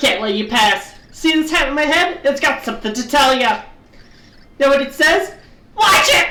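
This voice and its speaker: A female-sounding, high-pitched put-on character voice is shouting. Audible echo follows it. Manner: yelling, grumpy.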